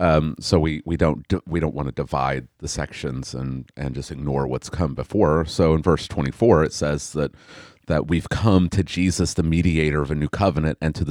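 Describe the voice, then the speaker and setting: Vocal fry marks a man's very deep, low pitch as he speaks at a moderate pace, with a dry, close sound with no echo on a very clean recording with a silent background. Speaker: pastor. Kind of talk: casual Bible study discussion.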